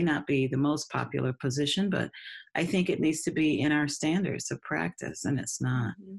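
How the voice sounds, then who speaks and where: With vocal fry, a woman speaks at a moderate pace in a very deep, low pitch. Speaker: speech-language pathology researcher. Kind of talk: interview.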